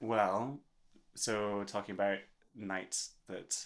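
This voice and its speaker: A man speaks with a Scottish accent in a monotone, flat intonation. His pace is very slow. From Scotland. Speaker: singer-songwriter. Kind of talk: casual chat.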